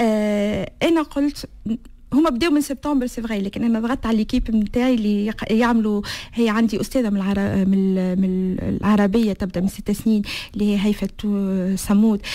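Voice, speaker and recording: A woman speaks at a moderate pace with a dark, mellow tone, a fairly high pitch and ordinary pitch variation. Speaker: association founder. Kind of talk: interview. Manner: halting.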